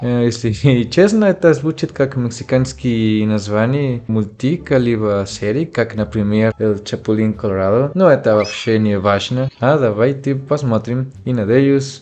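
Against light background noise, a man talks at a fairly slow pace. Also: ordinary pitch variation. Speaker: reaction video host. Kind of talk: casual vlog chat. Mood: cheerful, friendly. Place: home room. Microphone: studio mic.

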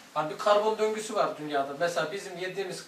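Over light background noise and audible room echo, a man talks in a high pitch with fairly even intonation. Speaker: religious study teacher. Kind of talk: lecture. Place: home room.

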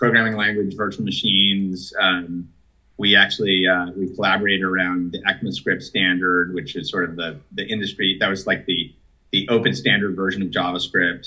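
A man with an American accent at a moderate pace, against a quiet background. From US Midwest, Minnesota. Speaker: tech company executive; guest. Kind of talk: interview. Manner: halting, many fillers and repetitions. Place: home room. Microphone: video call.

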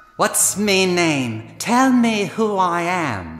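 A woman puts on a character voice at medium pitch. She speaks at a very slow pace. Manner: menacing, theatrical.

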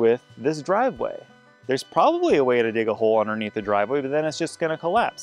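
At a very fast pace, a man speaks in a dry sound with no echo, faint music in the background. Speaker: farm vlogger. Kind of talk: casual vlog chat. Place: open country. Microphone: phone near.

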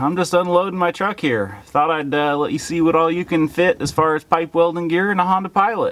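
At a moderate pace, a man talks in a high pitch. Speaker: vlogger. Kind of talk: casual vlog chat.

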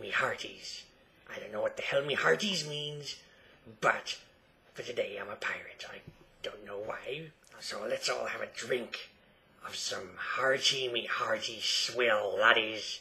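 A man uses a raspy, put-on character voice at a fairly slow pace. He leaves long, frequent pauses. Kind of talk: comedic improv talk to camera. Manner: playful, exaggerated.

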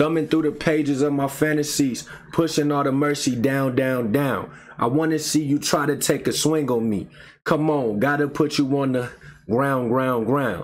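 A man talks at a moderate pace. His loudness stays very even. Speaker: music reaction host. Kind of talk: reading lyrics aloud in a reaction video. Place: home room.

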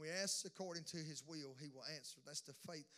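An animated man with a Southern US accent speaks at a moderate pace in a fairly high pitch. His tone is bright and sharp, with ordinary pitch variation. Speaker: pastor. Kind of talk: sermon. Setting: church.

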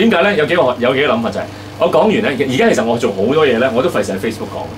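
Noticeable background noise runs under a man whose voice makes very wide pitch swings. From Hong Kong. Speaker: podcast host. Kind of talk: casual chat. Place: studio.

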